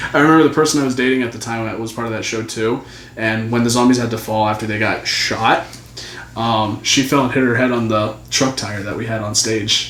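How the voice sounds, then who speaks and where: Over noticeable background noise and audible room echo, a man talks at a fairly quick pace. His pitch is medium, his intonation fairly even. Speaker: youtuber and podcast co-host. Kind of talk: casual chat. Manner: stuttering.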